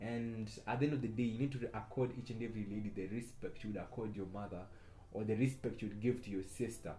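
Talking at a very fast pace, a man has a medium pitch and a somewhat breathy, dark, mellow tone. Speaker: podcast host. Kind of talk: casual monologue. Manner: animated.

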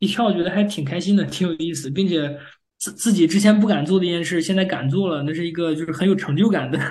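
Talking very fast with ordinary pitch variation, a man with a high voice is heard with audible room echo. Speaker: machine learning engineer, PhD graduate. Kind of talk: interview. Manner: halting.

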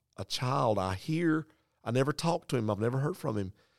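A man talks at a fairly quick pace with lively intonation. The sound is dry and close with no echo, in a very clean recording with a silent background. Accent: North Carolina. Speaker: pastor. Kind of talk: storytelling; casual chat. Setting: conference room.

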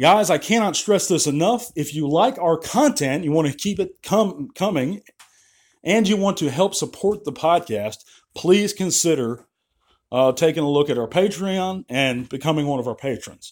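A man speaks in a high voice at a moderate pace with lively intonation. The recording is very clean, with a silent background. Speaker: podcast host. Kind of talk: frustrated rant to listeners. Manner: frustrated, stammering, repeating words; heated, emphatic, opinionated.

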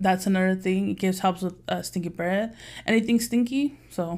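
A woman with a plain, everyday voice speaks at a medium pitch and fairly quick pace with fairly even intonation, on a very clean recording with a silent background. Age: 30s. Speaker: customer service manager, podcast co-host. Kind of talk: casual chat.

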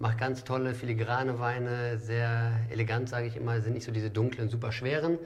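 Somewhat breathy and at a fairly quick pace, a man speaks at a medium pitch with monotone, flat intonation, and audible room echo. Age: 40s. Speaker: restaurant owner and wine merchant. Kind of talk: casual chat.

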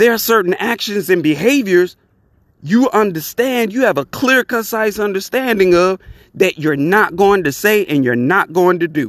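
A man talks at a fairly slow pace with a high pitch and lively intonation. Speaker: podcast host. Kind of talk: opinion monologue podcast, rising to an angry rant near 23:50. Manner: worked-up, loud and indignant, blunt and profane; casual, conversational, welcoming.

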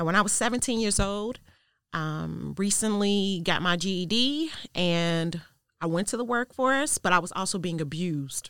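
A normal speaking voice with an American accent and lively intonation comes through on a very clean recording with a silent background. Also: woman. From US Midwest, south side of Chicago. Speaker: domestic violence advocate and student success manager. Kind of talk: interview testimony.

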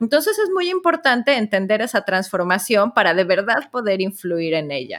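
Hardly pausing, a woman speaks at a moderate pace with a fairly high pitch and very wide pitch swings. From Mexico. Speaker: entrepreneur and author. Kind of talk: interview.

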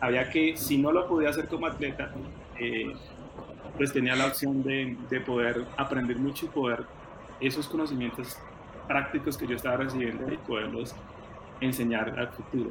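With audible room echo and noticeable background noise, a man talks at a moderate pace with fairly even intonation and long, frequent pauses. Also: medium pitch for a man. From Colombia, rural Tolima. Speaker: former track athlete and coach. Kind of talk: interview.

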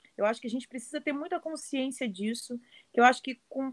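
A woman speaks at a fairly quick pace in a high pitch, recorded with a dry, close sound and no echo. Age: 30s. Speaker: samba school flag bearer. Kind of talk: interview.

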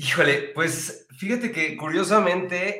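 This man has a plain, everyday voice, speaking at a fairly slow pace with ordinary pitch variation. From Mexico. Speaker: stage actor and singer. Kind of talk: interview.

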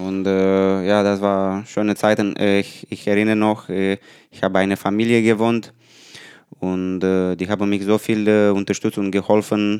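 Speaking slowly-ish with a Romanian accent, a man keeps a fairly low pitch and a monotone, flat intonation. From Romania, Buzău. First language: Romanian (speaking German). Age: 30s. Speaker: professional table tennis player. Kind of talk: casual interview. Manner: halting.

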